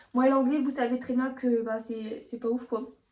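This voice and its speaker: Her voice is high-pitched, with a dark, mellow tone. The intonation stays fairly even. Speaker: beauty youtuber. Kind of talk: product showcase vlog. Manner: stumbling.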